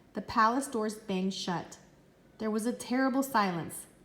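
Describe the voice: The speaker just reads the words aloud, pitch shifting in an ordinary way.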